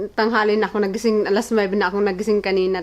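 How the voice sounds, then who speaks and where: Speaking at a very fast pace, the woman keeps a medium pitch and a monotone, flat intonation. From Philippines. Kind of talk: casual vlog talk to camera.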